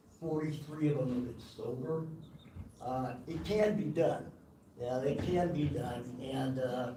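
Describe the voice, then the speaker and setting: With audible room echo and noticeable background noise, a man talks fairly slowly at a fairly high pitch, his pitch varying in an ordinary way. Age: 60s. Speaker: public commenter at county meeting. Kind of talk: public comment speech. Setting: county commission meeting room. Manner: animated.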